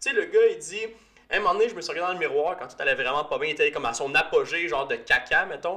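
A man talks at a very fast pace in an animated tone, with a Quebec accent. Music plays in the background. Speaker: podcast host, physiotherapist. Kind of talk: casual chat.

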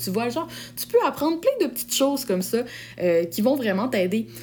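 A woman with a Quebec accent, talking at a fairly quick pace. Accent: Québécois French. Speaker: podcast host, sales coach. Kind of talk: solo podcast tutorial. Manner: casual, animated.

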